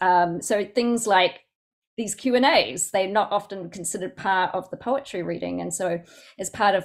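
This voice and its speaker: A woman with a Southland New Zealand accent at a moderate pace, in a very clean recording with a silent background. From New Zealand, Southland. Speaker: poet. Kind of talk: Q&A discussion. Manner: halting.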